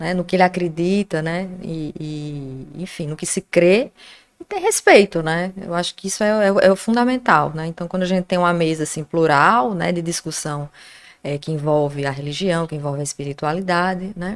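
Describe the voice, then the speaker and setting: In a very clean recording with a silent background, a woman talks at a moderate pace with a fairly low pitch and ordinary pitch variation. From Natal, Rio Grande do Norte, Brazil. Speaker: journalist, professor and Wiccan witch. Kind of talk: casual interview chat.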